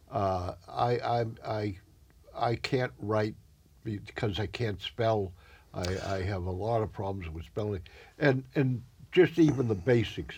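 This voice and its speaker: Over a very clean recording, silent background, a man speaks fairly slowly in a somewhat breathy, fairly low voice with ordinary pitch variation and long, frequent pauses. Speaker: community TV interview host. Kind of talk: casual interview. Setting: studio.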